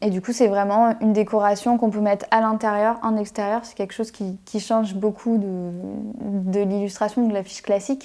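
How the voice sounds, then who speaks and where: Recorded very cleanly against a silent background, a woman speaks at a moderate pace in a fairly high, dark and mellow voice with monotone, flat intonation. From western France, Anjou region. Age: 20s. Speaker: illustrator. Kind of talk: interview self-presentation. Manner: casual, many hesitations.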